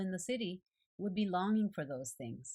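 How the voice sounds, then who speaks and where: A woman speaks at a fairly low pitch and fairly quick pace. She sounds somewhat breathy against a quiet background. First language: Japanese. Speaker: art journaling video creator. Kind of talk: devotional reflection.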